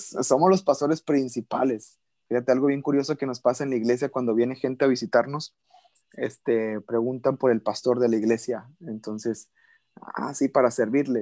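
Dry, close sound with no echo, a man's dark, mellow tone at medium pitch, a moderate pace and ordinary pitch variation. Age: 20s. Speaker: pastor. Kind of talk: interview.

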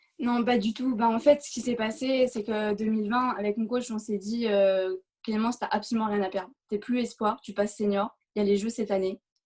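A woman's fairly high, somewhat breathy voice with fairly even intonation at a moderate pace. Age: 20s. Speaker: race walker. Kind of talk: interview.

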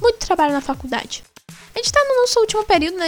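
With a Brazilian accent, a woman talks at a very fast pace, her pitch swinging very widely. Music plays in the background. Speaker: gaming podcast co-host. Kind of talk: casual chat.

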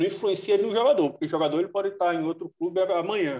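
Dark and mellow in tone, a man speaks at a fairly quick pace with ordinary pitch variation. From Northeast Brazil. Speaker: football columnist. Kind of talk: casual chat.

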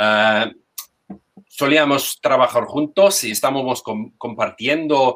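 A man speaks with a non-native accent. His voice is fairly high, with ordinary pitch variation. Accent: foreign accent in Spanish. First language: English (speaking Spanish). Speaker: language teacher. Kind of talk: testimony. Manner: hesitant. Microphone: sound problems.

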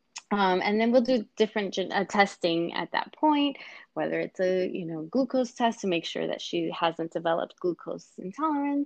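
A woman's medium-pitched voice with an American accent, lively intonation, a moderate pace and a quiet background. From New York City (Queens). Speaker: hospital-based midwife. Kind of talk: interview. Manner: hesitant, many fillers.

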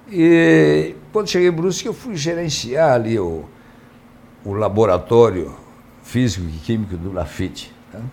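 Amid audible room echo, a man at a medium pitch makes very wide pitch swings and big swings in loudness. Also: fairly slow pace. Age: 70s. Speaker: mayoral candidate, former mayor. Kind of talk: live interview.

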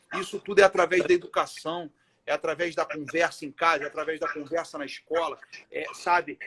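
A man talks at a fairly quick pace in a high, bright, sharp voice. His intonation is monotone and flat, and the sound is dry and close with no echo. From Brazil, Rio de Janeiro (Irajá). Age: 30s. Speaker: education social project founder. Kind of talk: casual interview on live stream.

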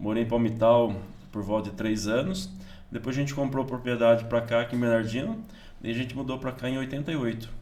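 In a room with audible echo, a man of medium pitch talks at a fairly quick pace with fairly even intonation. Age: 50s. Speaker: pastor and farmer. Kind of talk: casual interview, testimony. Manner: halting, with many repeated words.

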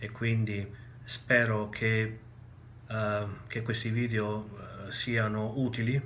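Medium in pitch, a man speaks at a very slow pace with long, frequent pauses. His intonation is monotone and flat, and the room echo is audible. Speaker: spiritual teacher. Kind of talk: recorded video talk. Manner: hesitant, many filler sounds.

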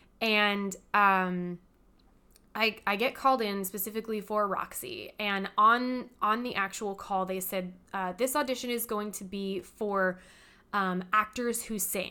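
A bright, sharp tone in a Californian accent comes at a fairly slow pace with fairly even intonation in a very clean recording with a silent background. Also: woman, medium pitch for a woman. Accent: Californian American English. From California, Inland Empire. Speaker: theater director and performer. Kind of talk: casual interview chat.

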